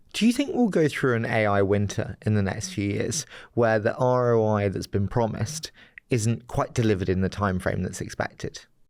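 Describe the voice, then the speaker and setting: A man's voice, delivered at a moderate tempo with ordinary pitch variation, comes through on a very clean recording against a silent background. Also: medium pitch for a man. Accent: London. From London. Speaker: podcast host. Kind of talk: interview.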